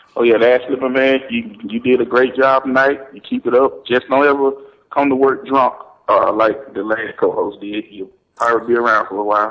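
An ordinary speaking voice from a man, moderate in pace, fairly even in intonation, with big swings in loudness. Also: medium pitch for a man. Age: 30s. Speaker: caller, wrestling radio host. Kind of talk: casual chat.

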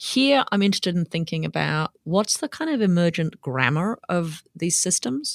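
A woman with an Australian accent, fairly low in pitch, with very wide pitch swings, a moderate pace and hardly any pauses, in a dry, close sound with no echo. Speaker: anthropologist and professor. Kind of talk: interview conversation.

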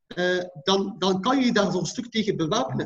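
This man speaks at a moderate pace with a high pitch. His pitch varies an ordinary amount. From Belgium, Ghent (Flanders). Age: 30s. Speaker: imam and community leader. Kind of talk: interview conversation.

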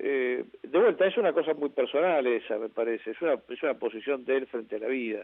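A plain, everyday voice runs at a fairly quick pace with hardly any pauses. Its intonation is lively. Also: man, fairly high pitch for a man. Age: 50s. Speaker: film archivist and TV host. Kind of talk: radio interview.

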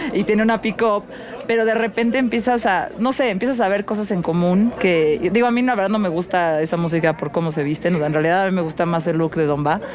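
The speech moves at a fairly quick pace with ordinary pitch variation and very even loudness. There is noticeable background noise. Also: woman, medium pitch for a woman. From Mexico City. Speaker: podcast host and DJ. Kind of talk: casual interview. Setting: mobile booth at a music festival.

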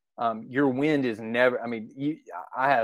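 With an Arkansas accent, the speaker keeps a moderate pace and ordinary pitch variation. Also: man. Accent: Southern US (Arkansas). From Arkansas, US South. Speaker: deer hunter. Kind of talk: casual chat.

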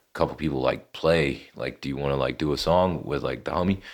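In an American accent, a man talks at a moderate pace with a very deep, low pitch. His intonation is fairly even, with vocal fry. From North Carolina, Lexington. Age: 20s. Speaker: rapper. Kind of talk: casual interview.

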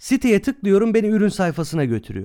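Fairly quick speech from a man on a very clean recording with a silent background. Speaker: podcast co-host on marketing. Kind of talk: casual podcast talk.

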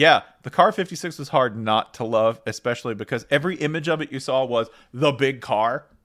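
On a very clean recording with a silent background, a man with a normal speaking voice talks at a fairly quick pace, his medium pitch showing ordinary pitch variation. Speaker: podcast host. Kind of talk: casual banter podcast.

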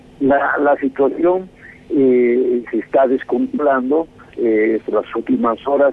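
A man speaks at a very slow pace, with a medium pitch and ordinary pitch variation. Noticeable background noise runs under his voice. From Bolivia. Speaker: political scientist, professor. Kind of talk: interview. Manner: halting.

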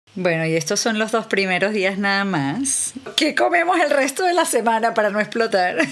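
A woman at fairly high pitch with very wide pitch swings, very even loudness, a moderate pace and hardly any pauses, plus noticeable background noise. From Venezuela. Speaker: podcast host and novelist. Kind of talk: casual interview.

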